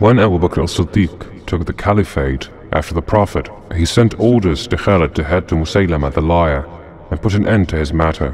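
Over noticeable background noise, a man with a very deep, low pitch speaks in a solemn, dramatic tone with ordinary pitch variation. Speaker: narrator of Islamic history. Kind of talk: dramatic narration of history, scripted. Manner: solemn, dramatic, measured storytelling pace.

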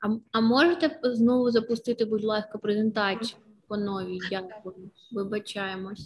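A woman speaks at a moderate pace with a fairly high pitch, a somewhat breathy voice and ordinary pitch variation. Her loudness swings widely over light background noise. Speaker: webinar moderator. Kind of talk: moderation. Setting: video call. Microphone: webcam.

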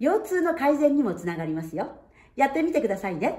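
Her voice is high for a woman, with a dark, mellow tone, very wide pitch swings and a fairly quick pace. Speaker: singer and voice trainer. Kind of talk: voice lesson talk to camera. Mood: warm, cheerful. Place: home room. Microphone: camera far.

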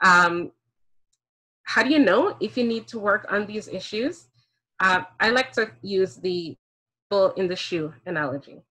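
Against a quiet background, a woman with a bright, sharp tone and lively intonation talks at a fairly slow pace with long, frequent pauses. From Jamaica. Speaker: speaker on race and parenting; speaker. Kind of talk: talk to an online audience. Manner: fluent. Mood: earnest, reflective. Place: home room. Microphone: video call.

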